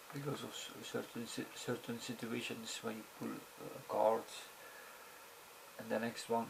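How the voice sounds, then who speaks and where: Over noticeable background noise, a man with a non-native accent talks at a moderate pace, leaving long, frequent pauses. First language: not English. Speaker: video blogger. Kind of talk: casual monologue. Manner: halting, many fillers.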